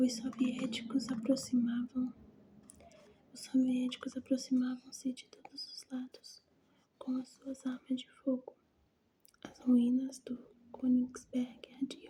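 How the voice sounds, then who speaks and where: A soft-spoken, whispering woman at a very slow pace, with big swings in loudness and long, frequent pauses. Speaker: ASMR creator. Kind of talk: whispered ASMR book reading for sleep. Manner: soft-spoken, whispering, slow.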